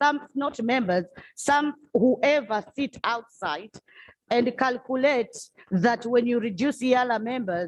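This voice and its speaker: Pitch rises and falls in an ordinary way. The delivery is fairly slow in pace. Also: woman. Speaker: legislator. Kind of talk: parliamentary debate. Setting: parliament chamber. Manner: loud.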